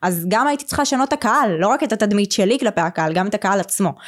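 A woman's medium-pitched voice with lively intonation at a very fast pace, on a very clean recording with a silent background. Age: 20s. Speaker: social media marketing business owner. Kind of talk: interview.

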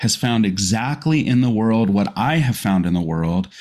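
This is a normal speaking voice with lively intonation, delivered at a moderate pace. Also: man. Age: 40s. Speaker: pastor. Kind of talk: casual chat.

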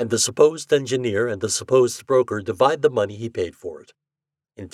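A passage is read aloud in a natural voice. Little can be heard behind it.

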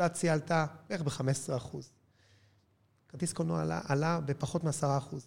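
A man with a fairly high pitch speaks at a moderate pace in a somewhat breathy voice, his intonation fairly even and his speech broken by long, frequent pauses, on a very clean recording with a silent background. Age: 50s. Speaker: cinema chain executive. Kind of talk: interview.

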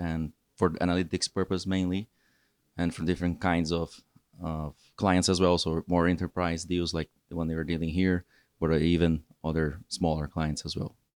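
A man with a Portuguese accent speaks at a moderate pace in a very deep, low pitch, his intonation monotone and flat, the sound dry and close with no echo. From Brazil. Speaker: data engineer. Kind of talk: casual interview. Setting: rooftop hotel location.

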